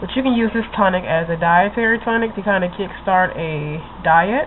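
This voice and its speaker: A woman speaking at a moderate pace, with noticeable background noise. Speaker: vlogger. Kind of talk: casual tutorial vlog.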